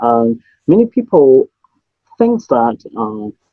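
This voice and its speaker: With a Cantonese accent, a man speaks with ordinary pitch variation. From Hong Kong. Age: 30s. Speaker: memory champion and business owner. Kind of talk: interview.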